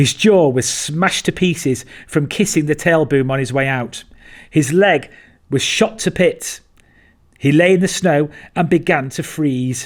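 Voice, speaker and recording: Speaking with an unremarkable speaking voice, a man talks fairly slowly at a fairly high pitch with ordinary variation. The recording is very clean, and the background is silent. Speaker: military survival instructor. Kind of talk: documentary narration.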